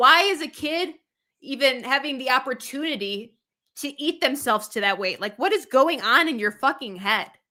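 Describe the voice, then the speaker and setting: A woman with a high pitch, a bright, sharp tone and an animated tone, raised, projected voice, lively intonation and moderate pace, in a very clean recording with a silent background. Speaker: YouTuber reacting to content. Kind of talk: reaction commentary. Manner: animated, ranting.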